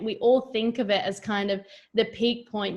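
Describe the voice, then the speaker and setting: A woman with an Australian accent, fairly high in pitch, at a moderate pace with fairly even intonation. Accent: Australian, noticeable. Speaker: yoga teacher. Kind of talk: casual chat.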